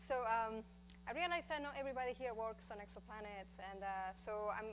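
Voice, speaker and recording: Speaking at a fairly quick pace, a woman uses a fairly high pitch with ordinary pitch variation. She has a strong Spanish accent. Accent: thick Spanish. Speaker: astrophysicist. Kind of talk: lecture.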